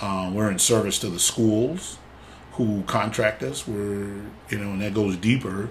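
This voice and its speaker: In an American accent, a man speaks at a fairly slow pace with fairly even intonation. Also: fairly low pitch for a man. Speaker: wrestling official and assigner; podcast host. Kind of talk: casual interview chat.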